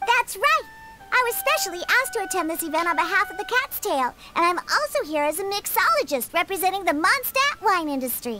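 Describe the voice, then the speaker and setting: Over faint music in the background, a woman uses a cartoonish character voice at an extremely high pitch, with very wide pitch swings and a fairly quick pace. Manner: blunt, tsundere.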